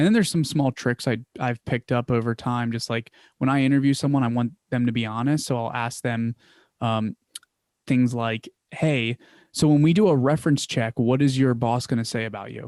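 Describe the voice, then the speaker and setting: A man with a medium pitch speaks at a fairly quick pace with fairly even intonation, in a dry, close sound with no echo on a very clean recording with a silent background. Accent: Philadelphia. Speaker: business founder. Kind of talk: interview. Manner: casual, filler-heavy.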